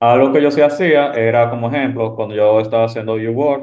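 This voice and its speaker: Speaking with a Dominican accent, a man talks at a moderate pace and medium pitch with ordinary pitch variation. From Dominican Republic. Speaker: medical resident. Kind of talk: panel discussion.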